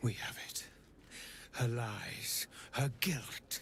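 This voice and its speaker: A man whispers in a put-on character voice. Background noise is clearly audible. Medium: video game. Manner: cold, commanding.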